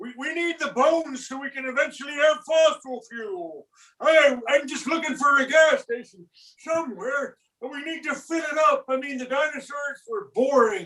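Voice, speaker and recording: A man performs a put-on character voice at an extremely high pitch. His delivery is deadpan. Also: moderate pace. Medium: game stream. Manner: rambling, deadpan.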